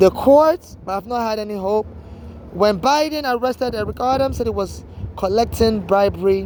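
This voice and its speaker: With an American accent, a woman talks at a moderate pace and medium pitch, her pitch varying in an ordinary way over noticeable background noise. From Nigeria. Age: 40s. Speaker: homeless vlogger. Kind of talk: personal video monologue. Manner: halting, with repetitions.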